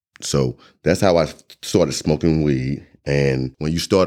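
At a fairly slow pace, a man speaks in a Southern US accent. His pitch shows ordinary variation. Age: 40s. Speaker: entrepreneur, formerly incarcerated. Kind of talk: testimony.

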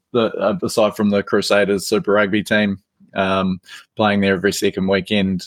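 This man talks with a New Zealand accent and a fairly low pitch. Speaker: rugby league podcaster and writer. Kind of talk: casual chat.

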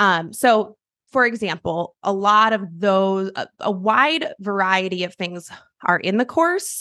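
A woman with an American accent speaks in a normal speaking voice at medium pitch. Her pitch varies in an ordinary way, and the sound is dry and close with no echo. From US Pacific Northwest, Seattle. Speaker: business founder and chief of staff consultant. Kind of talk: interview conversation.

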